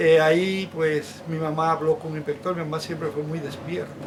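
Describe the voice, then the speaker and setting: A man speaks at a moderate pace in a fairly high pitch, with fairly even intonation and noticeable background noise. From Dominican Republic, San José de Ocoa. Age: 60s. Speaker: interview guest. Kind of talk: interview. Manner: hesitant, with frequent fillers.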